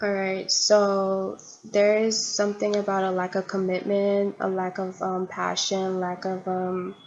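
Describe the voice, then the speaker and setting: The voice is monotone and flat, at a fairly slow pace with hardly any pauses. Noticeable background noise runs underneath. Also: woman, medium pitch for a woman. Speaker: tarot reader. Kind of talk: tarot reading monologue.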